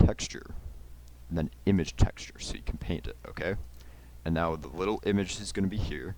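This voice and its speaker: A man with a very deep, low pitch and vocal fry talks with lively intonation, big swings in loudness, and long, frequent pauses. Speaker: YouTuber making software tutorials. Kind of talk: tutorial. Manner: fast; casual with many fillers.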